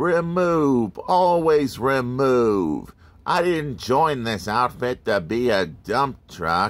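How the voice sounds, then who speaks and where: In a put-on character voice, a man at medium pitch talks at a very slow pace. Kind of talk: toy review, playful character voice. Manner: grumbling, complaining. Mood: grumpy, playful.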